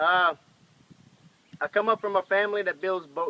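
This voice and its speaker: A man with a Cajun accent speaks in a raised, projected voice at a moderate pace with a high pitch. His tone is bright and sharp, and the sound is dry and close with no echo. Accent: Cajun Louisiana English. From Louisiana, New Iberia (Cajun). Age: 20s. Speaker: machinist and commercial fisherman. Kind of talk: casual self-introduction video. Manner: casual, hesitant with fillers.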